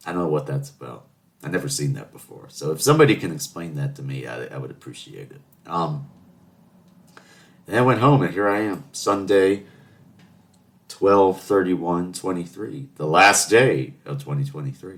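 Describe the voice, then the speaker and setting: A man with an American accent and a very deep, low pitch, moderate pace, very wide pitch swings, long, frequent pauses and big swings in loudness. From US South, Charleston. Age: 20s. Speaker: podcast host. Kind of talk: casual monologue. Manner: chatty, rambling with fillers.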